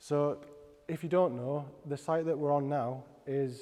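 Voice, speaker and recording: In a Teesside accent, a man is speaking. His intonation stays fairly even. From Middlesbrough, north-east England. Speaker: product designer. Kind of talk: presentation. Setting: stage with audience. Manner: halting.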